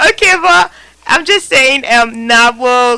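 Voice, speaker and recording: A woman talks very slowly while noticeable background noise carries on. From Nigeria. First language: a Nigerian language. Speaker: online radio talk show host. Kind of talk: casual chat.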